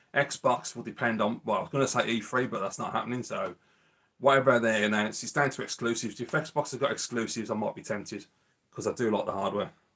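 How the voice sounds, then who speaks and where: With a Birmingham accent, a man talks very fast at a medium pitch. His intonation stays fairly even. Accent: Birmingham (Brummie). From Birmingham, England. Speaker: retro gaming YouTuber. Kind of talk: casual live-stream chat. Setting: live stream.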